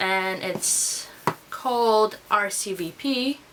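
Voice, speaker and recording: Amid noticeable background noise, a woman with a medium pitch speaks with ordinary pitch variation. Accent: Russian. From Russia. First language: Russian. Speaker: beauty vlogger. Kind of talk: tutorial. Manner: casual.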